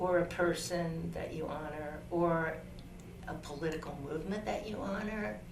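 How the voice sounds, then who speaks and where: A woman's fairly low voice, with ordinary pitch variation, comes through audible room echo and noticeable background noise. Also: moderate pace. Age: 70s. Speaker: elder interviewee. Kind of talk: interview answers.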